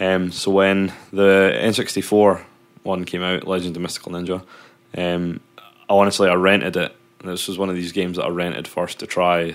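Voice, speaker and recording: Here a man speaks with a very deep, low pitch at a moderate pace. His intonation is monotone and flat. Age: young. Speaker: podcast co-host, techno DJ. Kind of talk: casual chat.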